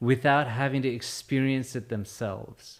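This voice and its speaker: In an American accent, a man talks at a moderate pace and medium pitch on a very clean recording with a silent background. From Texas, San Antonio. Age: 40s. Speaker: former political candidate. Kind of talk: podcast interview. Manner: halting, with many restarts.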